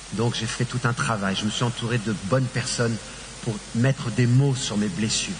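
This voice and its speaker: Moderate-speed talk from a man, mid-range pitch with ordinary variation, noticeable background noise behind it. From Paris, France. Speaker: actor giving testimony. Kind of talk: testimony.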